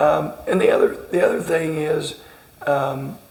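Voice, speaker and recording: Noticeable background noise and audible room echo surround a man speaking in a Southern US accent. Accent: Southern twang. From southern Indiana, Greene County. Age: 40s. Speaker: basketball coach. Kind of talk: interview. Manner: halting, many repeated words.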